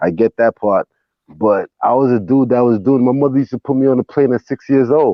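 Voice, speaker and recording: This man has an unremarkable speaking voice, a medium pitch, fairly even intonation and a fairly quick pace. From US, raised in city projects. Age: 40s. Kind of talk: casual chat.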